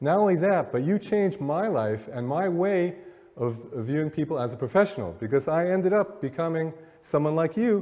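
With lively intonation, a man delivers his words at a moderate pace. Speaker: motivational speaker. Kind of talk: live lecture to an audience. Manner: conversational, many filler words. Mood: warm, reflective storytelling. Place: hall. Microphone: podium.

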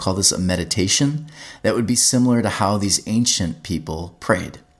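Fairly low in pitch with lively intonation, a man talks in a normal speaking voice. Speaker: teaching pastor and podcaster. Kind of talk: guided meditation, then teaching talk; monologue podcast teaching. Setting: podcast, solo recording. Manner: calm, slow, soothing; gentle, instructive.

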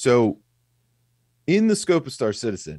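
An intense male voice with very wide pitch swings at a moderate pace, dry with no echo, over a quiet background. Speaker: gaming podcast co-host. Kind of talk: casual podcast chat. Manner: intense, fired up, profane. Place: home room. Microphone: studio mic.

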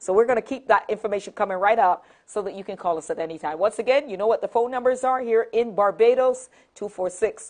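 A woman at a very fast pace with ordinary pitch variation, against a quiet background. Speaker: TV talk show host. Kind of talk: talk show hosting. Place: studio.

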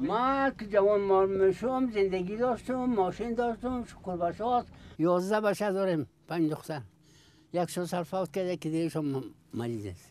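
A man speaks at a moderate pace with lively intonation and a high pitch. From Afghanistan. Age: 80s+. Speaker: traditional bone setter. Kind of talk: interview answer. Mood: weary, reflective. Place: home room.

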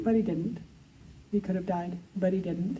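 With fairly even intonation, a woman's somewhat breathy voice carries a dark, mellow tone. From Canada. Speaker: author. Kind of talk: moderating a Q&A. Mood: warm, admiring. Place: hall. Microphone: handheld.

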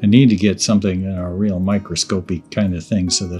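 Faint music plays in the background. A man speaks at a moderate pace with fairly even intonation. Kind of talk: casual tutorial commentary. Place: workshop.

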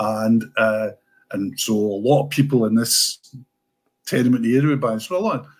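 Pausing long and often, a man with a Scottish accent talks at a moderate pace with ordinary pitch variation. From Scotland. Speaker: sports writer; guest. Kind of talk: casual chat. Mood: warm, reminiscing. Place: home room.

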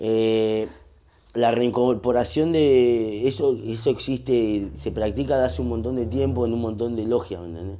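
This man's voice has a dark, mellow tone and ordinary pitch variation. He speaks at a fairly slow pace. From Argentina, La Matanza (Greater Buenos Aires); Argentina. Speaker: urban music artist; podcast guest. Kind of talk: casual interview chat. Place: home room.

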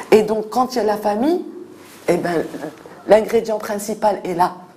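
With lively intonation, this woman keeps a moderate pace. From Morocco, Fès. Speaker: NGO director for street children. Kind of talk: interview. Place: office.

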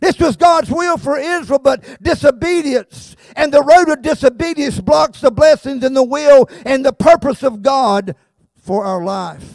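Against a quiet background and with a dry sound with no echo, a man with a Southern US accent talks at a fairly slow pace with lively intonation. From South Carolina. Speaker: pastor. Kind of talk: sermon. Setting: church. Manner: animated. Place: church. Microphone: handheld.

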